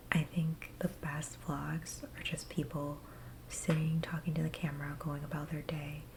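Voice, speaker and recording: Soft-spoken and fairly slow, a woman with a very deep, low voice keeps a flat, monotone delivery. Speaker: ASMR creator. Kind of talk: ASMR casual talk to camera.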